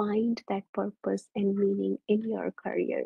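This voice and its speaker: Very slow and somewhat breathy, a woman speaks in a dark, mellow tone. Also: dry, close sound with no echo. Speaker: mindfulness facilitator and engineer. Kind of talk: presentation.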